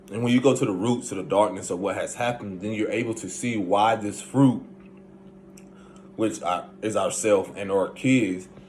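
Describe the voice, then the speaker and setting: A man with a Southern US accent and a fairly low pitch speaks at a moderate pace with ordinary pitch variation, amid audible room echo and noticeable background noise. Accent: southern twang. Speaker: spiritual self-help vlogger. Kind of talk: casual monologue.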